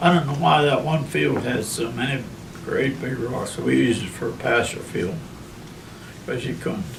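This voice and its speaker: A man with a western Pennsylvania accent at a moderate pace, with audible room echo and noticeable background noise. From Armstrong County, Pennsylvania. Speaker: oral history narrator. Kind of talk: oral history interview.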